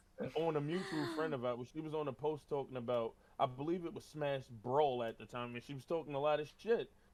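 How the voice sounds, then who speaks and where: Noticeable background noise accompanies a man whose speech moves at a fairly brisk pace. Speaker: rapper. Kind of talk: interview. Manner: casual.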